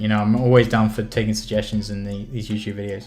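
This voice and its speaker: With music in the background and audible room echo, a man speaks at a very fast pace. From southwest London. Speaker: indie game developer and streamer. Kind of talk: casual live stream chat while working. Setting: live stream. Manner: hesitant, many fillers.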